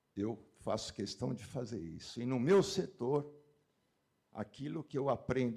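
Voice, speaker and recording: Talking at a moderate pace, a man has a dark, mellow tone and a medium pitch. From São Paulo, Brazil. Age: 70s. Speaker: meat industry executive. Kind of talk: panel discussion.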